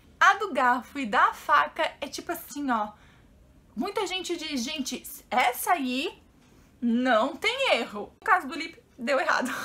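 A woman speaks in a raised, projected voice at a high pitch, with very wide pitch swings. Her pace is fairly slow. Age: 30s. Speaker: YouTuber; vlogger. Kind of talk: casual vlog. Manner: animated. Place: home room. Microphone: camera far.

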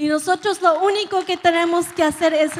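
A woman with an extremely high pitch speaks in a fairly even intonation, with light background noise. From California. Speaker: preacher. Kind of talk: sermon. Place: church. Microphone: handheld.

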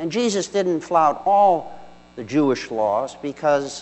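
This man has an unremarkable speaking voice, talking at a fairly slow pace with ordinary pitch variation. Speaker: deacon. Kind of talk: homily. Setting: church. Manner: formal; measured, earnest.

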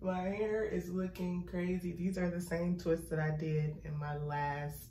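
A woman speaks with a fairly low pitch. There is audible room echo and faint music in the background. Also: fairly even intonation, fairly slow pace. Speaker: vlogger. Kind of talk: vlog. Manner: casual, conversational. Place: bathroom. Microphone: phone near.

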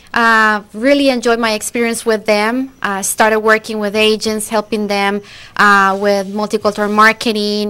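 In a Costa Rican accent, a woman speaks at a moderate pace with a fairly high pitch and monotone, flat intonation. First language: Spanish. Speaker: recruiter. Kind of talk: interview. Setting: studio. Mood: friendly, upbeat. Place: studio. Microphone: studio mic.

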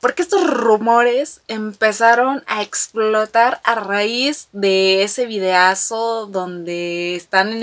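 The pitch of this woman's voice shows ordinary variation. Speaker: fan vlogger. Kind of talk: casual vlog chat. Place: home room.

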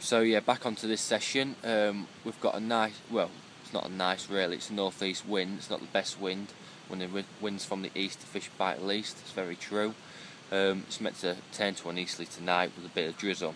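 At a moderate pace and with fairly even intonation, a man talks in a dry sound with no echo over noticeable background noise. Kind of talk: casual vlog chat. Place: tent. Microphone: phone near.

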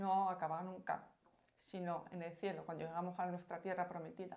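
A woman speaks at a moderate pace with a Castilian accent, a medium pitch and monotone, flat intonation. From Spain, Madrid. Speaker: pilgrimage volunteer. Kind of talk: personal testimony. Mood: warm, grateful. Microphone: lapel.

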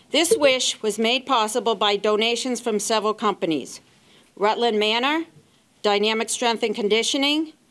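Speaking fairly slowly, a woman uses ordinary pitch variation. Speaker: presenter. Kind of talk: ceremony speech. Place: hall. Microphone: handheld.

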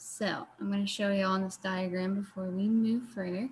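A woman speaks at a moderate pace. Her pitch moves very little. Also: medium pitch for a woman.

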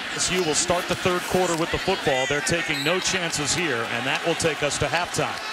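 With hardly any pauses, the voice holds a very even loudness and an animated tone, ordinary pitch variation, and noticeable background noise behind it. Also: man, high pitch for a man. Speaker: football play-by-play announcer. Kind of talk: live sports play-by-play commentary. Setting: game broadcast. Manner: rapid-fire, clipped, matter-of-fact play-by-play delivery; animated, rising emphasis on big plays.

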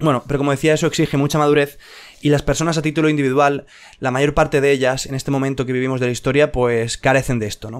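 A man speaks very fast in a fairly high voice with monotone, flat intonation. The background is quiet. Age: 20s. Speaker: YouTube educator. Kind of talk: improvised video monologue. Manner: hesitant, many fillers. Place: home room. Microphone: studio mic.

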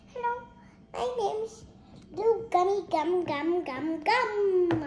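In a put-on character voice, a woman talks at an extremely high pitch and a very slow pace. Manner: goofy, singsong, playful.

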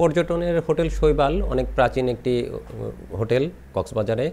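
At a moderate pace, the voice carries vocal fry, a slightly mellow tone and ordinary pitch variation. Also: man, medium pitch for a man.

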